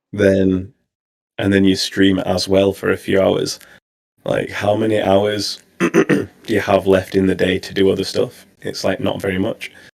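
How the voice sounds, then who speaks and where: With a British accent, a man speaks at a fairly low pitch in a monotone, flat intonation. His pace is fairly slow. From England. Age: 30s. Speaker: streamer. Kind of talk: interview.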